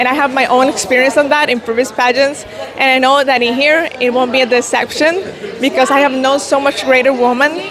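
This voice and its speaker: A woman with a high pitch speaks at a moderate pace and with fairly even intonation. Crowd noise sits in the background, and room echo is audible. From El Salvador. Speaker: beauty pageant contestant. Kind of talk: interview.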